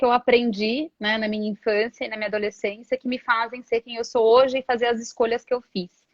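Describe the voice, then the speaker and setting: A woman's high-pitched voice with fairly even intonation at a fairly quick pace, dry and close with no echo. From Brasília, Brazil. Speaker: HR professional and coach. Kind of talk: live interview.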